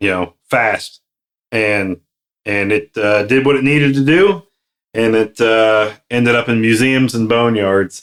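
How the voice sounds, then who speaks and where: A man talks at a fairly slow pace. His loudness stays very even. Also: medium pitch for a man, ordinary pitch variation. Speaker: aviation maintenance podcast co-host. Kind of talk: casual podcast discussion. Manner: halting, stumbling over words.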